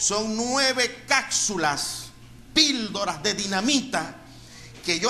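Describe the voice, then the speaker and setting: The voice is raised and projected. Noticeable background noise and audible room echo fill the recording. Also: man. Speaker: pastor. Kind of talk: sermon.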